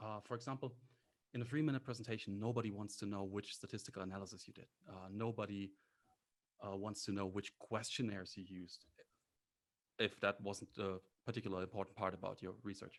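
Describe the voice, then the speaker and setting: A speaker with a non-native accent talks at a very fast pace with fairly even intonation, broken by long, frequent pauses. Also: man, fairly low pitch for a man. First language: not English. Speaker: graduate student, competition finalist. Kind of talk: panel discussion.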